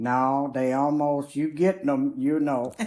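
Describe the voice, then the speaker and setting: In a very deep, low pitch and a dark, mellow tone, a woman speaks at a very slow pace. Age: old. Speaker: grandmother telling life stories. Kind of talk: casual chat. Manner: halting.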